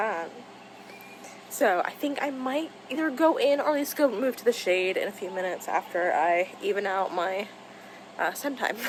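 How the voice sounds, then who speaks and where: Noticeable background noise sits behind a woman with a fairly high pitch and very wide pitch swings. She talks at a moderate pace with long, frequent pauses. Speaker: writer and vlogger. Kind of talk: casual vlog. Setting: outdoors.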